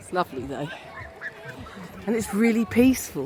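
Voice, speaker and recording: A woman speaks in an English accent. Noticeable background noise runs behind her. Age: 50s. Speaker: lifestyle vlogger. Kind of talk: vlog narration. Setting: outdoors.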